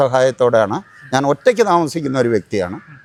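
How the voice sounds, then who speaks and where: A man with an ordinary speaking voice talks with lively intonation in a dry, close sound with no echo. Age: 60s. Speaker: army veteran. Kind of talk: news interview testimony.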